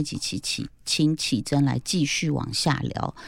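The recording is very clean, with a silent background. A woman speaks at a very deep, low pitch with vocal fry. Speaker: podcast host. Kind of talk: casual chat.

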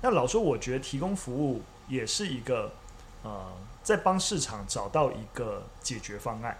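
Somewhat breathy, a man speaks at a medium pitch and a moderate pace. His pitch swings very widely. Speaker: media company CEO, former history teacher. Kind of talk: casual chat over tea. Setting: teahouse room.

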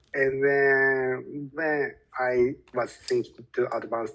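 A man with a Japanese accent, medium pitch, and a very slow pace. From Japan (Osaka). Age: 30s. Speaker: language learner and English educator. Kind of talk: casual interview. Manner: hesitant, many fillers.

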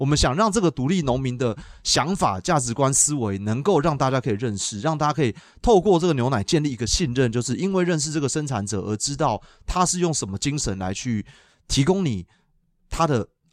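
Over a very clean recording with a silent background, a man with an unremarkable speaking voice talks at a medium pitch and a fairly quick pace with lively intonation. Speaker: dairy cattle veterinarian and dairy brand founder. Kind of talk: casual interview.

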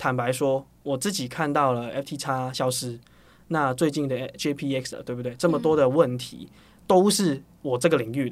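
On a very clean recording with a silent background, a man with a slight Hong Kong accent talks at a fairly high pitch with ordinary pitch variation. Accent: Hong Kong accent in Mandarin, slight. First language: Cantonese (speaking Chinese). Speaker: startup founder and CEO. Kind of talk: interview.

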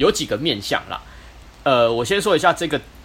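His pitch swings very widely. The man's voice sits fairly high. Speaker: podcast co-host. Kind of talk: casual chat.

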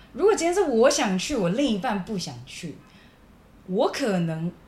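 The room echo is audible. A woman speaks with very wide pitch swings. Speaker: podcast co-host. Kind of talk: casual chat.

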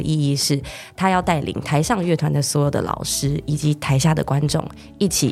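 Against music in the background, a woman talks at a fairly quick pace in a very deep, low pitch. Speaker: orchestra co-founder and director. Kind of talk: interview.

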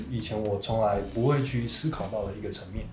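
Over noticeable background noise, a man speaks with audible room echo. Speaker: podcast host sharing life story. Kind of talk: interview testimony.

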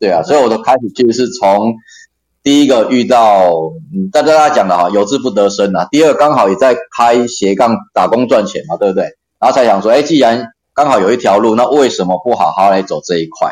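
With lively intonation and a medium pitch, a man talks at a fairly quick pace. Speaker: occupational safety trainer. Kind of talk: casual interview.

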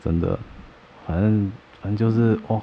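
Noticeable background noise sits behind a man speaking at a moderate pace. His voice is fairly low, with ordinary pitch variation. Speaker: podcast co-host. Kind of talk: casual chat. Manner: animated.

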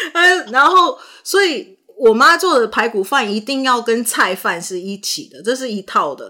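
A woman's fairly high voice with vocal fry, very wide pitch swings and a moderate pace. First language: not English (speaking Chinese). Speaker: podcast host and actor. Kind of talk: casual chat.

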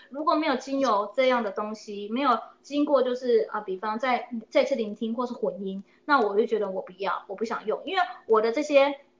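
A woman with a high pitch speaks with big swings in loudness over noticeable background noise. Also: ordinary pitch variation, fairly quick pace. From Taiwan. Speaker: oboist and music teacher. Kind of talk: interview. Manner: hesitant, many fillers.

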